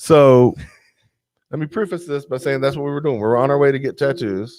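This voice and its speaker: A man with a strong Southern US accent talks at a fairly quick pace in an animated tone, his fairly high pitch showing ordinary variation. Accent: thick Southern US. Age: 30s. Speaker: podcast guest. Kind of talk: casual chat.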